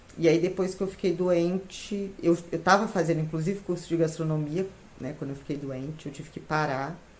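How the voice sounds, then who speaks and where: A woman speaks at a fairly quick pace in a fairly low pitch, with fairly even intonation. Her loudness swings widely, and room echo is audible. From Minas Gerais, Brazil (São João del Rei). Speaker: retired civil servant, baking course student. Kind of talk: testimony.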